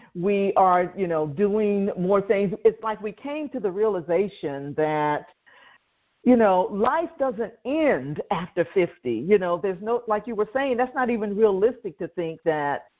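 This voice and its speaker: A woman with an ordinary speaking voice talks at a fairly slow pace and a medium pitch, with lively intonation. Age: 60s. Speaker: podcast host. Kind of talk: podcast interview. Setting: podcast recording.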